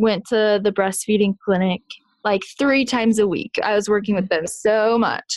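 An unremarkable speaking voice, a woman with an American accent speaks at a fairly high pitch, a fairly slow pace, fairly even intonation and very even loudness. The sound is dry and close with no echo against a quiet background. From Kansas. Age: 20s. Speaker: new mother sharing birth story. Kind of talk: casual interview, personal story.

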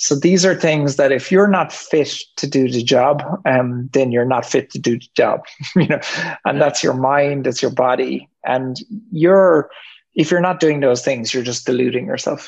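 Talking at a moderate pace, a man uses a fairly high pitch with ordinary pitch variation. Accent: Irish. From Ireland. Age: 50s. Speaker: entrepreneur. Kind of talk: interview. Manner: halting, many ums.

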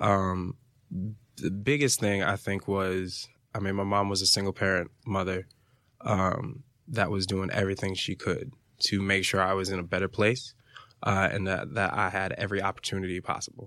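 With an American accent, a man speaks in a plain, everyday voice at fairly low pitch and moderate pace, his intonation fairly even, on a very clean recording with a silent background. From Fort Lauderdale, Florida. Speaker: actor and DJ. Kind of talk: casual interview.

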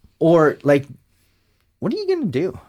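Vocal fry and very wide pitch swings in a man's fairly high-pitched voice. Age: 30s. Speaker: podcast co-host. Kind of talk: casual chat.

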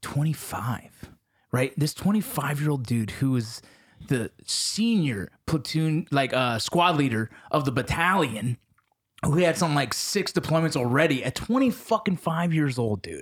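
A man talks at a moderate pace, his fairly high voice somewhat breathy and his pitch swinging very widely. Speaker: podcast host. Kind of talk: casual chat.

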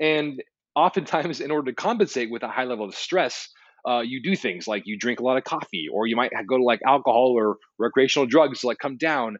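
At a fairly quick pace, a man with an unremarkable speaking voice talks at a medium pitch with lively intonation. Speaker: author and writer. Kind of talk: podcast interview.

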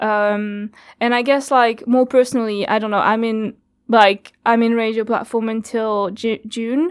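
On a very clean recording with a silent background, a woman with a French accent speaks at a moderate pace in a fairly high, flat monotone. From France. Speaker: community radio worker. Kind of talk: interview. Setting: studio.

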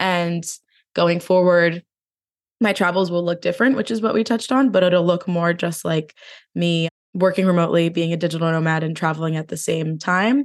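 Against a quiet background, a woman with an American accent talks at a fairly quick pace, her fairly low pitch showing ordinary variation. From New Jersey. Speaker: podcast host and digital nomad. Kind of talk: casual chat.

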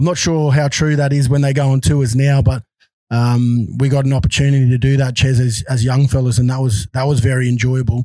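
Speaking at a fairly quick pace with an Australian accent, a man uses a medium pitch and a somewhat breathy, dark, mellow tone, keeping his loudness very even and his intonation fairly even. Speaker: podcast host, former rugby league player. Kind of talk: casual interview. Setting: video call.

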